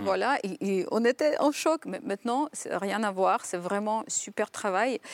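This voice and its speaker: With a Ukrainian accent, a woman talks at a moderate pace in a fairly high pitch with ordinary pitch variation, and the sound is dry and close with no echo. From western Ukraine. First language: Ukrainian (speaking French). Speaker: writer and former diplomat. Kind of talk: TV panel discussion. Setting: TV studio.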